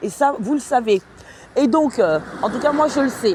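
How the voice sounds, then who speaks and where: A woman is talking. Noticeable noise sits in the background. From France. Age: 30s. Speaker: vlogger, cleaning worker. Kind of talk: casual livestream monologue. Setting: at home. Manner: hesitant, many fillers.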